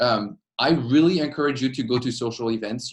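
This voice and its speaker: Using a French accent, a man speaks at medium pitch and moderate pace with ordinary pitch variation. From France. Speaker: PhD student and student association leader. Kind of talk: informational webinar talk. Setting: webinar.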